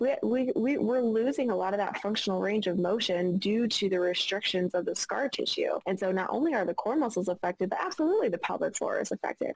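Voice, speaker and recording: Over noticeable background noise, a woman rushes along at a very fast pace with hardly any pauses and very even loudness. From Arkansas. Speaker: pelvic floor physical therapist. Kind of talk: interview answer.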